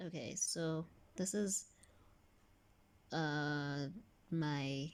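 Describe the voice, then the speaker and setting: A woman speaks with ordinary pitch variation. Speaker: vlogger. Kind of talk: casual vlog. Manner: hesitant.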